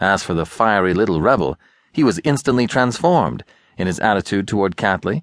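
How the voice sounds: A natural reading voice with lively intonation.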